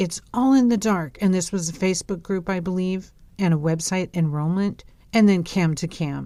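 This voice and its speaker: A woman's dark, mellow, medium-pitched voice moves at a moderate pace with ordinary pitch variation. The recording is very clean, with a silent background. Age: 50s. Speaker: podcast host, cult survivor. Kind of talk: monologue review.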